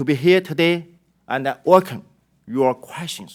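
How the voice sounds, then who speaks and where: A man with a Chinese accent speaks at a fairly slow pace. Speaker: company executive testifying. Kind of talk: prepared testimony statement. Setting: congressional hearing. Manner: formal.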